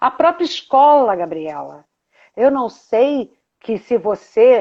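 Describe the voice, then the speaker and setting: A woman speaks with a dark, mellow tone and lively intonation against a quiet background. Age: 60s. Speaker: therapist and teacher. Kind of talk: casual chat. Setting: video call.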